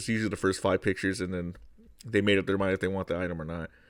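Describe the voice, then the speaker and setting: The recording is very clean, with a silent background. A man does the talking. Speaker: reseller. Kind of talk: tutorial. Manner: halting; casual.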